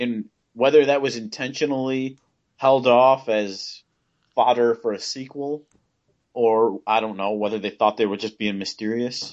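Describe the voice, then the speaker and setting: At a moderate pace, a man with a normal speaking voice talks at medium pitch with fairly even intonation. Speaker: co-host. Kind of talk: casual chat.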